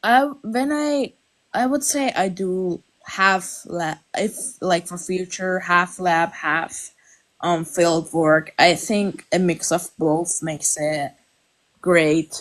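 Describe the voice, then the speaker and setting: The speaker uses a Persian accent, talking at a very slow pace with lively intonation. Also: woman, fairly low pitch for a woman. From Iran. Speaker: viewer, amateur taxidermist. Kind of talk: casual chat. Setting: live stream.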